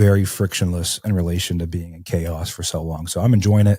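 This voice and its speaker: A man speaks with a very deep, low voice, somewhat breathy, with fairly even intonation. The recording is very clean, the background silent. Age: 20s. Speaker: real estate entrepreneur. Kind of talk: podcast interview. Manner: casual, many fillers.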